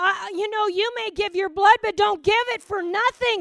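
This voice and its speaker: A woman's animated tone. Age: 60s. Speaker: pastor. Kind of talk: sermon. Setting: church.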